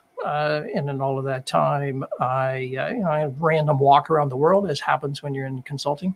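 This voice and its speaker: Over noticeable background noise, a man talks at a fairly quick pace and a fairly high pitch. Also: ordinary pitch variation. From Canada. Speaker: author and former management consultant. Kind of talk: interview. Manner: halting, many fillers.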